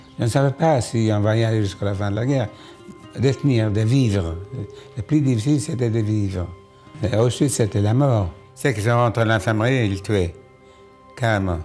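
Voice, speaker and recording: A man speaks at a fairly low pitch with ordinary pitch variation. Music plays in the background, and his long pauses come often. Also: moderate pace. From Poland. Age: 80s+. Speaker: Holocaust survivor. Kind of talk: documentary interview answer.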